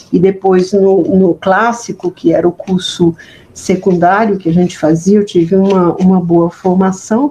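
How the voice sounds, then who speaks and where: A woman speaks slowly, her medium-pitched voice somewhat breathy. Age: 70s. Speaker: history professor. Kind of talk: interview. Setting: at home. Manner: halting, many repetitions.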